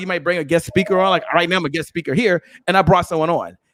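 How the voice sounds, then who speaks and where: With an animated tone, a man speaks in a high pitch in a dry, close recording with no echo. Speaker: entrepreneur and podcast host. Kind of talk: interview.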